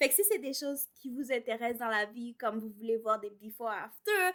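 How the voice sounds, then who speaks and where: A woman's voice has a bright, sharp tone and a moderate pace. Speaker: home renovation vlogger. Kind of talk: casual vlog talk. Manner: casual, with filler words and English code-switching.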